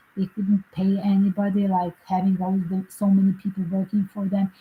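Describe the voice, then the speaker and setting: Somewhat breathy, a woman of medium pitch speaks at a moderate pace with a dark, mellow tone. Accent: non-native. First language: not English. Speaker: psychic tarot reader and commentator. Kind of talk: casual livestream commentary. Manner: halting, with fillers.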